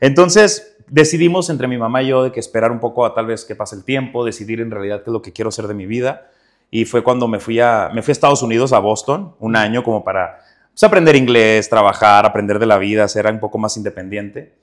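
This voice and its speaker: In a Juárez accent, a man talks at a very fast pace with medium pitch, ordinary pitch variation and big swings in loudness. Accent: northern Mexican, Juárez accent kept. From northern Mexico, Ciudad Juárez, Chihuahua. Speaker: actor. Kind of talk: interview.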